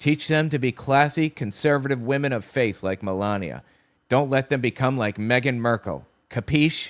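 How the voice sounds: With ordinary pitch variation, the clip offers a natural reading voice.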